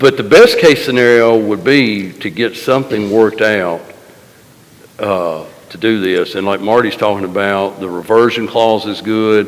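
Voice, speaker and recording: Over noticeable background noise, a man speaks at a fairly low pitch and a moderate pace. His loudness swings widely while his pitch varies in an ordinary way. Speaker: county official. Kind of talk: public meeting discussion.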